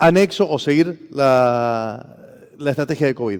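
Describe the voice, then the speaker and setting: A man speaks with a Rioplatense accent in a dark, mellow tone. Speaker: former public official, conference speaker. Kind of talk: conference talk. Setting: stage with audience. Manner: fast.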